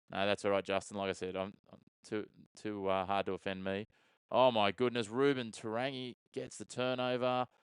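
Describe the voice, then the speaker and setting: The man has an Australian accent. The sound is dry and close with no echo, over a quiet background. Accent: Australian, mistaken by a viewer for British. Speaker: sports streamer and watchalong commentator. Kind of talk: live commentary with chat replies. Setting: live stream. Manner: fast play-by-play.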